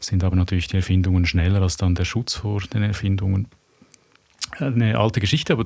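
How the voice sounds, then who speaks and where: A man speaks with a very deep, low pitch and a dark, mellow tone, somewhat breathy with ordinary pitch variation. The recording is very clean, with a silent background. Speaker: graphic novel author and architect. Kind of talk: interview conversation. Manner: halting, searching for words.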